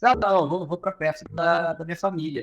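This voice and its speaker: A man with a Pará accent. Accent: Pará accent, drawling with hissing s. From northern Brazil, Pará. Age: 30s. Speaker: professor and business consultant. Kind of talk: podcast interview. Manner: casual, with hesitations and repetitions.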